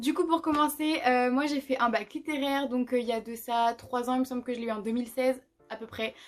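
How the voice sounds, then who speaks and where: Over music in the background, a woman talks at a fairly quick pace in a high pitch with fairly even intonation. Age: 20s. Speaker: psychology student. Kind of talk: casual talk to camera.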